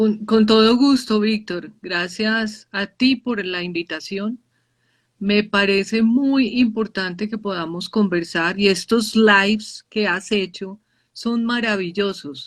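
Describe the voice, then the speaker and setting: A woman's somewhat breathy voice at a very slow pace. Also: medium pitch for a woman, ordinary pitch variation. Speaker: professor, nurse, youth researcher. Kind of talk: live online conversation. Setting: video livestream.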